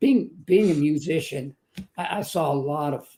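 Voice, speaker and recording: This man talks at a moderate pace in a fairly high pitch with ordinary pitch variation. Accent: Texan. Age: 70s. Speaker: motivational speaker and author. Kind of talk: testimony.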